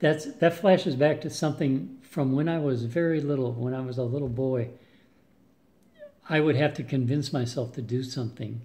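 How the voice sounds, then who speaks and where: A man talks at a medium pitch with ordinary pitch variation. His tone is dark and mellow and somewhat breathy. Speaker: weight loss vlogger. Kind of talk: casual video update. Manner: hesitant, many fillers.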